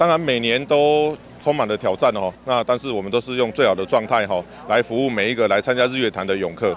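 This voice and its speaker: Over light background noise, in a dry sound with no echo, a man with a Taiwanese accent speaks at a fairly quick pace with ordinary pitch variation. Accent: Taiwanese Mandarin. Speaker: water rescue volunteer leader. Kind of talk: interview. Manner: casual, many fillers. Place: waterside. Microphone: handheld.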